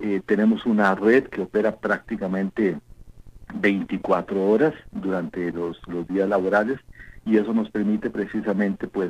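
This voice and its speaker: A man with an ordinary speaking voice talks at a moderate pace. His pitch is fairly low. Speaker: postal service logistics manager. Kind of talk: radio interview.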